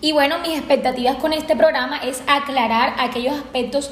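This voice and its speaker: The speaker talks at a fairly quick pace. Audible room echo and noticeable background noise fill the recording. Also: woman. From Colombia, Sahagún, Córdoba. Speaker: psychiatrist and researcher. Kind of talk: expert panel discussion. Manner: formal.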